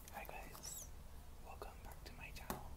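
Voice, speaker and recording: A man is talking. Loud background noise runs behind him. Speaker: ASMR creator. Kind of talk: ASMR video, casual talk to camera. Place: home room. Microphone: earbuds.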